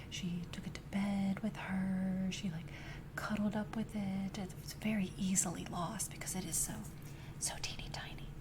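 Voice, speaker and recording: Soft-spoken and monotone, a woman speaks at a moderate pace with flat intonation and a medium pitch. There is noticeable background noise. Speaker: ASMR creator. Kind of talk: ASMR narration.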